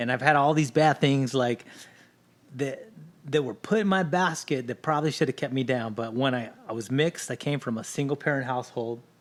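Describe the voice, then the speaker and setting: A man of medium pitch talks at a fairly quick pace with ordinary pitch variation. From Los Angeles area, California. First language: Spanish. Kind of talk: podcast interview.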